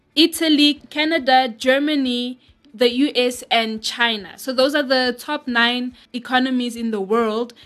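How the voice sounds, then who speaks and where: Music plays behind a woman speaking in a high voice. Her intonation stays fairly even. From South Africa. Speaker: radio host. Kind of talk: radio DJ patter with station jingles and a news-style economic briefing. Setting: studio.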